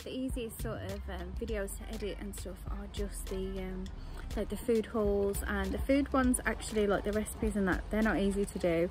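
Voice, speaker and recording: Clear music plays in the background while the voice moves at a moderate pace, the sound dry with no echo. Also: woman. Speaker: parent vlogger. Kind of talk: casual vlog chat. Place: garden. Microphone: phone near.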